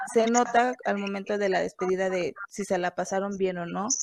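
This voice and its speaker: Fairly quick, fairly evenly intoned speech in a Mexican accent. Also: woman. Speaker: podcast co-host. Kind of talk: casual chat.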